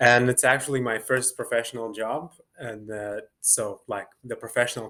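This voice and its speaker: With a Lithuanian accent, a man of medium pitch speaks at a moderate pace with hardly any pauses. His tone is bright and sharp, his intonation fairly even, and his loudness swings widely. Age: 20s. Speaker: dancer and choreographer. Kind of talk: interview. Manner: hesitant, many fillers.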